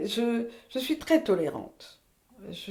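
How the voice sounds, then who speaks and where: Vocal fry runs through a woman's dark, mellow tone. Her intonation is lively. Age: 80s+. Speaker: retired midwife. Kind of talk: testimony. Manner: halting.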